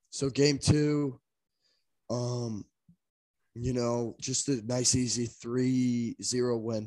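A man speaks very slowly in a dark, mellow tone at medium pitch, his intonation monotone and flat, with long, frequent pauses. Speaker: podcast co-host. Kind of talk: casual sports podcast chat.

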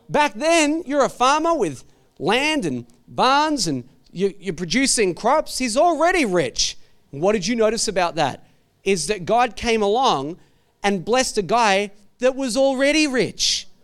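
In a very clean recording with a silent background, a man with an Australian accent speaks in an animated tone at a fairly slow pace, his extremely high voice making very wide pitch swings. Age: 40s. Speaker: pastor. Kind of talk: sermon.

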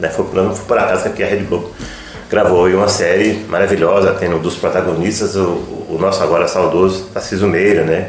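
The speech moves at a fairly quick pace amid noticeable background noise and audible room echo. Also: man. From northern Minas Gerais, Brazil (rural Francisco Sá). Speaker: journalist. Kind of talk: radio interview. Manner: halting, many fillers.

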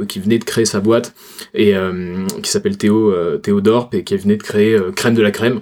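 Speaking in a Toulouse accent, the man keeps a moderate pace. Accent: Toulouse accent, noticeable. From Toulouse, southern France. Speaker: personal branding consultant. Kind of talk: casual chat.

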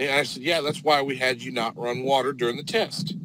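A man talks at a moderate pace with ordinary pitch variation. He has a plain, everyday voice. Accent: American. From northern Indiana. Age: 20s. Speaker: drain cleaning plumber. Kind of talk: casual interview chat. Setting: live video stream.

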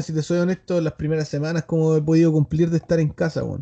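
A man with a Chilean accent, fairly high in pitch and dark, mellow in tone, at a fairly quick pace, in a dry, close sound with no echo. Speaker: podcast host. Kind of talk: casual chat. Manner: animated.

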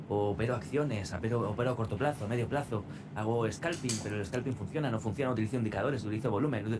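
Speech comes at a very fast pace with ordinary pitch variation and very even loudness. Noticeable background noise and audible room echo fill the recording. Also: man, medium pitch for a man. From Spain, Navarre (Pamplona). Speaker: radio announcer and trader. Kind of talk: interview.

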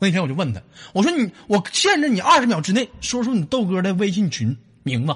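The man's tone is animated and his pitch high, swinging very widely. He talks at a fairly quick pace. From Northeast China. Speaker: comedy call-in show host. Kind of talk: casual joking chat with callers. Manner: animated, laughing.

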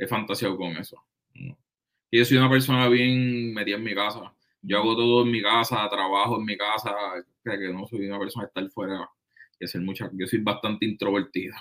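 In a plain, everyday voice, a man talks with fairly even intonation and a fairly low pitch. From Puerto Rico. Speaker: trumpet player. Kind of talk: casual chat. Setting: in person, recorded on laptop.

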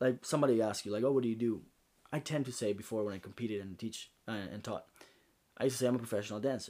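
This man speaks very fast in a medium-pitched, dark, mellow tone with fairly even intonation. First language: Spanish. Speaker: podcast host. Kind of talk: casual interview chat.

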